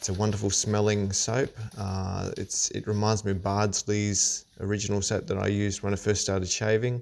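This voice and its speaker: A man's fairly low, monotone voice with flat intonation and an Australian accent, in a very clean recording with a silent background. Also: moderate pace. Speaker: shaving hobbyist. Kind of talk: tutorial. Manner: halting.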